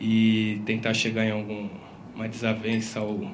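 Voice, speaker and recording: A man's medium-pitched voice comes with audible room echo and noticeable background noise. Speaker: event organizer. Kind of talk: introduction.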